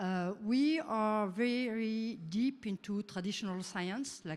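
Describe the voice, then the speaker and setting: The speaker has a French accent. The pitch varies in an ordinary way. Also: woman. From France. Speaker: researcher and startup founder. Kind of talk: conference talk. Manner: halting, many fillers.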